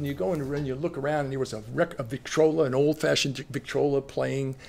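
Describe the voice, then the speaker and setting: A man talks with a New Jersey accent. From Long Branch, New Jersey. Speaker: retired educator and school administrator. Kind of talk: interview answer. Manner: casual storytelling.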